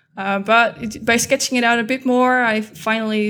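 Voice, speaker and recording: On a very clean recording with a silent background, a woman with a Dutch accent speaks at a fairly high pitch with fairly even intonation. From Netherlands. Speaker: data scientist. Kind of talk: interview.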